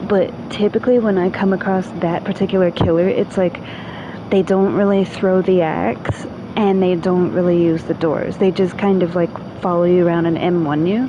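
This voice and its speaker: Noticeable background noise sits behind a woman's voice. Her intonation is fairly even and her loudness very even. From New York. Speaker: video game streamer. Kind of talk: casual gameplay livestream chat. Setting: livestream with a friend.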